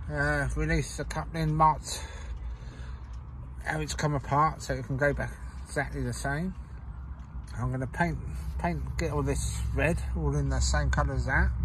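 A man at a moderate pace, with fairly even intonation and long, frequent pauses, in a dry, echo-free recording with noticeable background noise. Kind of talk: casual tutorial commentary. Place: garden. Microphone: phone near.

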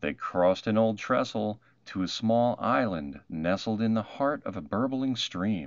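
A man with a fairly low voice talks at a fairly slow pace, his intonation lively.

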